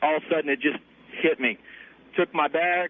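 The speaker has a Southern US accent and a fairly quick pace. The intonation stays fairly even. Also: man. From US South. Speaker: caller. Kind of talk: radio call-in conversation. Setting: phone call. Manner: casual.

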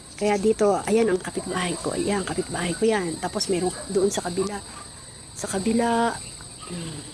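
With noticeable background noise, a woman of medium pitch speaks at a moderate pace in fairly even intonation. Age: 60s. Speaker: vlogger. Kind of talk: casual vlog talk. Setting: outdoors on a rooftop.

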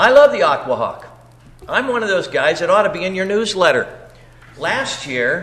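A man's voice over noticeable background noise. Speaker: public commenter at a board meeting. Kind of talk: public comment at a meeting.

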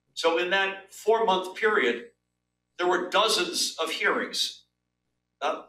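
Ordinary pitch variation and a fairly slow pace come through with audible room echo and light background noise. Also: man. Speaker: guest. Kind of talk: interview answer. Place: office.

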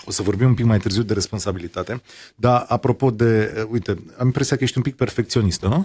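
Recorded very cleanly against a silent background with a dry, close sound and no echo, a man speaks fairly quickly at a medium pitch, somewhat breathy, with ordinary pitch variation. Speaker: radio host. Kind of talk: interview.

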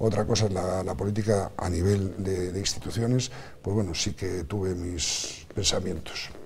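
The pace is moderate with fairly even intonation. Light background noise can be heard. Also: man, very deep, low pitch for a man. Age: 50s. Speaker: politician. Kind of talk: TV interview. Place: studio. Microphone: lapel.

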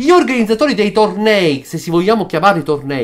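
Over a quiet background, a man speaks with a high pitch. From Sicily, Italy. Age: 50s. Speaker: chess player and video commentator; video commentator. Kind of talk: opinion monologue. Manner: animated. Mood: critical, impassioned. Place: home room. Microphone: webcam.

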